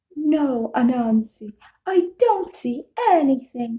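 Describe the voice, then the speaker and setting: A woman puts on a character voice at a high pitch. She speaks at a very slow pace with lively intonation. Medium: read story. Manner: calm, innocent, gently teasing.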